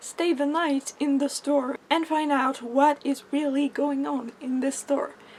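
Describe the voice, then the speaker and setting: A woman's high voice in a French accent at a fairly slow pace, with noticeable background noise. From France. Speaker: book vlogger. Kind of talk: casual book review vlog.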